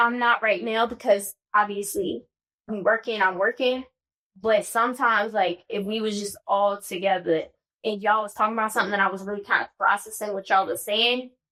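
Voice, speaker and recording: A loud woman's voice, fairly high and with a bright, sharp tone, fairly quick and with fairly even intonation. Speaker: podcast host. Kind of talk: casual chat.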